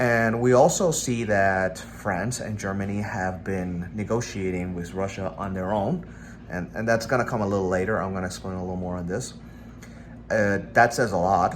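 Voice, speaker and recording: A man with a non-native accent speaks in a very deep, low pitch. His intonation is lively, and audible room echo surrounds him. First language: not English. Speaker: political commentator. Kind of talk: casual monologue. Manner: halting, with fillers and self-corrections.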